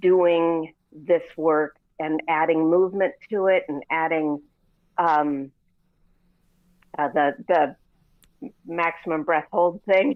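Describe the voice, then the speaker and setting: A woman speaks very slowly at a fairly low pitch. She pauses often and at length. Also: ordinary pitch variation. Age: 60s. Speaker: workshop participant. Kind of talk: testimony. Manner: halting.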